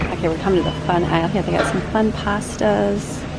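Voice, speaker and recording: A woman speaks over loud background noise. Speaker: family vlogger. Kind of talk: casual vlog chat. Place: shop. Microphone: phone near.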